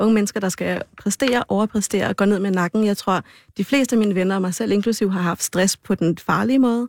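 On a very clean, dry and close recording with a silent background and no echo, a woman of medium pitch talks at a fairly quick pace with fairly even intonation. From Aarhus, Denmark. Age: 30s. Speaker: law student. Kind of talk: casual chat.

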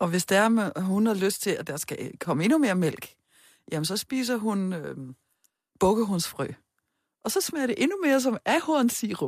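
A woman at medium pitch talks at a fairly slow pace, leaving long, frequent pauses. Her pitch swings very widely on a very clean recording with a silent background. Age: 50s. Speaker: sex therapist. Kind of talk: interview.

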